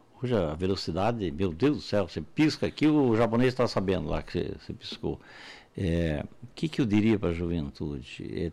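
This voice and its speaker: Very wide pitch swings at a fairly quick pace, on a very clean recording with a silent background. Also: man. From Santa Catarina, Brazil. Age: 70s. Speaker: entrepreneur and university founder. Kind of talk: interview.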